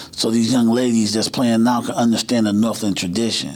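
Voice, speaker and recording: A man uses an ordinary speaking voice with an American accent. His pitch is medium, with ordinary pitch variation. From Cleveland, Ohio. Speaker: high school basketball coach. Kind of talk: casual chat.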